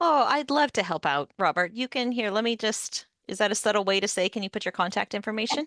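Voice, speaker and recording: Over a quiet background, a woman talks at a very fast pace. Her fairly high voice has lively intonation. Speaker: instructional designer. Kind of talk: workshop presentation with Q&A.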